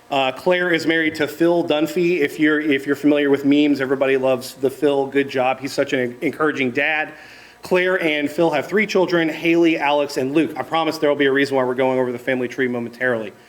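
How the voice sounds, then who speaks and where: A man rushes along at a very fast pace and a fairly high pitch with fairly even intonation, with noticeable background noise behind him. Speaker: estate planning panelist. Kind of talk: seminar presentation.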